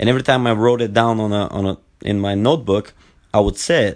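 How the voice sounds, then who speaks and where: Speaking very fast with a Bulgarian accent, a man keeps his fairly low voice at a fairly even intonation. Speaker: podcast host, former Olympic wrestler. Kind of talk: solo podcast monologue. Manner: halting, many fillers and repetitions.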